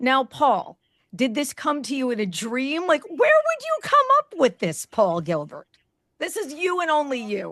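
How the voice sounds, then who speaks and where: The speaker has a New Jersey accent and talks at a fairly slow pace. The sound is dry and close, with no echo. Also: woman. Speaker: podcast host. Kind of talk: interview.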